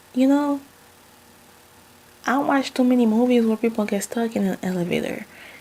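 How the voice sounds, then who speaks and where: With a strong Haitian accent, a woman speaks fairly quickly in an animated tone with ordinary pitch variation. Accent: Haitian accent, still thick. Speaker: vlogger. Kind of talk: casual storytelling vlog.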